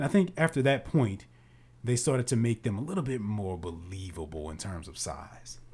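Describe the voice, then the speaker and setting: On a very clean recording with a silent background, a man of medium pitch talks at a moderate pace in a somewhat breathy voice, with big swings in loudness and very wide pitch swings. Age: 20s. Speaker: podcast co-host, actor and screenwriter. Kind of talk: casual chat.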